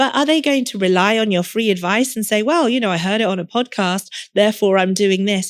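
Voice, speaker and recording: The speaker has an English accent and a fairly quick pace, with ordinary pitch variation. The recording is very clean, with a silent background. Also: woman, medium pitch for a woman. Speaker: lawyer turned career coach and podcast host. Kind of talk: podcast interview.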